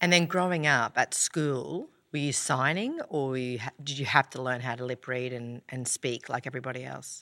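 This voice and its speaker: A woman with a strong Australian accent speaks at a very deep, low pitch in a bright, sharp tone, on a very clean recording with a silent background and a dry, close sound with no echo. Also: ordinary pitch variation, moderate pace, hardly any pauses. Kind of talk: casual chat.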